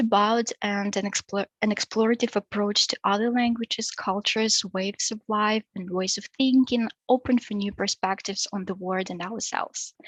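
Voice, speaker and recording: In a Russian accent, a woman with a fairly high pitch talks with fairly even intonation in a dry, close sound with no echo. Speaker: PhD researcher. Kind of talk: academic seminar presentation. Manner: halting, many fillers.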